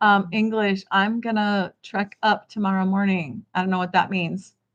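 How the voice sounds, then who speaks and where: A woman of medium pitch speaks in a monotone, flat way at a moderate pace. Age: 50s. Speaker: online business coach. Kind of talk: livestream talk. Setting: home kitchen livestream. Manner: casual, hesitant with many fillers.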